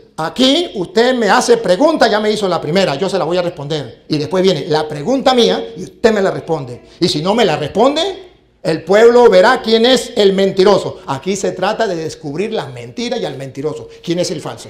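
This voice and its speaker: The voice is animated, with very wide pitch swings. It keeps a moderate pace with hardly any pauses. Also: man, high pitch for a man. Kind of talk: heated debate. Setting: stage with audience. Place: hall. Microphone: handheld.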